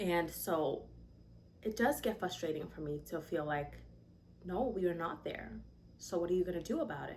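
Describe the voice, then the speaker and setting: A woman talks at a moderate pace with long, frequent pauses. Room echo is audible. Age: 20s. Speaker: vlogger, young mother and aspiring musician. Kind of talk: casual chat. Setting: sit-down video, mic not connected. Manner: animated, conversational.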